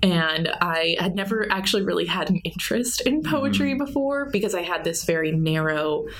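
Over noticeable background noise, a woman at a medium pitch talks at a fairly quick pace with hardly any pauses and very wide pitch swings. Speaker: college student and poet. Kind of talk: casual interview. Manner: halting.

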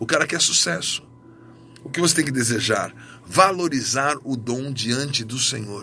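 A man speaks at a fairly slow pace in a medium pitch with ordinary pitch variation, and noticeable background noise. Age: 50s. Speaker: pastor. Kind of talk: sermon.

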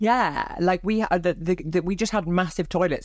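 A woman speaks with a Welsh accent and ordinary pitch variation. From South Wales (Barry). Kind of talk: casual interview chat.

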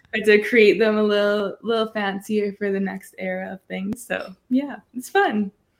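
A woman's plain, everyday voice at medium pitch, fairly even in intonation, at a moderate pace with hardly any pauses. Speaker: singer-songwriter and TikToker. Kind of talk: interview chat.

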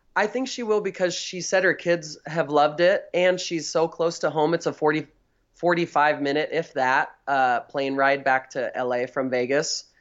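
Speaking with a Californian accent, the voice keeps a moderate pace and ordinary pitch variation. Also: man, fairly high pitch for a man. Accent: Californian American. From Northern California. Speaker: drag performer. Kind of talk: casual interview chat. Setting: remote call over Skype.

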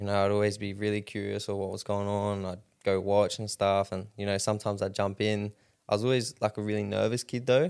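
In a very clean recording with a silent background, a man talks at a very fast pace. He has a fairly low pitch, an Australian accent and flat, monotone intonation. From Rockhampton, Queensland, Australia. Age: 20s. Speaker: professional MMA fighter. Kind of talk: casual interview chat.

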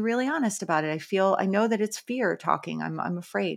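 This woman talks at a fairly quick pace in a bright, sharp tone, her medium pitch moving with ordinary variation. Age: 40s. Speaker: podcast co-host. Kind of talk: casual chat.

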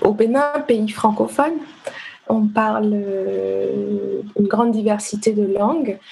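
A woman speaks at a very slow pace with very even loudness. Noticeable background noise can be heard. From Benin (Ouidah, Cotonou). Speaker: literary translator. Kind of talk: casual interview.

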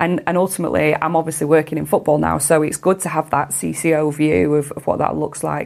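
A woman with a British accent talks at a very deep, low pitch with vocal fry. Her pace is fairly quick. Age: 40s. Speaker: CEO of a women's sports organisation. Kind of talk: interview.

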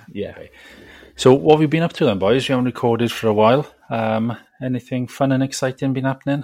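Speaking very fast, a man uses ordinary pitch variation while his loudness swings widely. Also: medium pitch for a man. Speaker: podcast co-host. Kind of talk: casual chat.

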